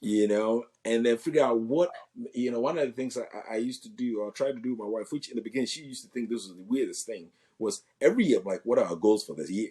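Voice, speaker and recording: A man talks very fast in a medium-pitched voice with a dark, mellow tone. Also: ordinary pitch variation, big swings in loudness. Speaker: physical therapist and real estate agent, marriage talk guest. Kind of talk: interview conversation. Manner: loud; animated.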